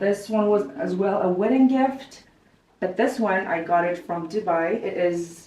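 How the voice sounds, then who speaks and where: A woman with a Kazakh accent speaks at medium pitch and a moderate pace, with audible room echo. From Kazakhstan. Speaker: lifestyle vlogger. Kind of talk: house tour interview.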